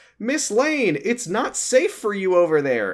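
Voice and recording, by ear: A put-on character voice, shouting at a fairly slow pace. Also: man, high pitch for a man.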